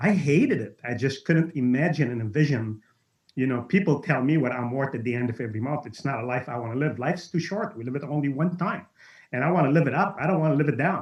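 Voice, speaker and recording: A man speaks at a very fast pace and a fairly high pitch. He sounds somewhat breathy, with ordinary pitch variation. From Lebanon. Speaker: network marketing entrepreneur. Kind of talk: webinar testimony. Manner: animated.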